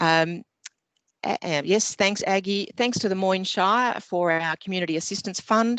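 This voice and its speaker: A woman with an Australian accent talks at a moderate pace and medium pitch with ordinary pitch variation, in a dry, close sound with no echo and a quiet background. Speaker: community group president. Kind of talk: speech of thanks. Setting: video call.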